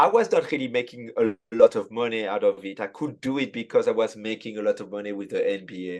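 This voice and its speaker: A man talks at a very fast pace with a French accent and hardly any pauses. His loudness swings widely. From France. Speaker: sports photographer. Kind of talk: casual chat. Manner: halting.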